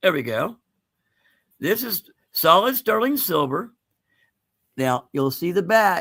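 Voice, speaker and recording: This man's voice sits high for a man and has a bright, sharp tone. He talks at a fairly slow pace with very wide pitch swings. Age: 60s. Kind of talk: live sales stream chat. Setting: livestream from home, dim room. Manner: casual, chatty.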